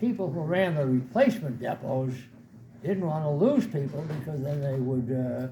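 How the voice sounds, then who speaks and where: With audible room echo around him, a man speaks at a medium pitch in a dark, mellow tone that is somewhat breathy. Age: 80s+. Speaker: war veteran. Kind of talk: talk to an audience. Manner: halting.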